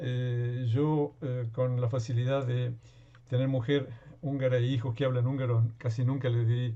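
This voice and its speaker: A somewhat breathy man speaks at a moderate pace in a medium pitch. His intonation is monotone and flat, and his loudness stays very even. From Argentina. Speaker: workshop participant. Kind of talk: self-introduction.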